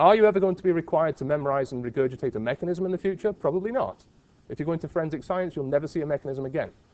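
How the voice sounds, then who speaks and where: Talking very fast in a Liverpool accent, a man uses lively intonation. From England (Liverpool). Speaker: university professor. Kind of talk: lecture.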